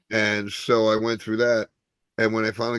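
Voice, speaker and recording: A man speaks with a New Jersey accent. His pitch sits fairly low. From Newark, New Jersey. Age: 60s. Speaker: stand-up comedian. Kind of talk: interview. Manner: halting, many fillers.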